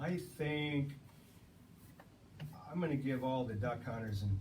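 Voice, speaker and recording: There is noticeable background noise and audible room echo. A man speaks at a fairly slow pace with ordinary pitch variation. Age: 60s. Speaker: ammunition company guest. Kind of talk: casual interview chat.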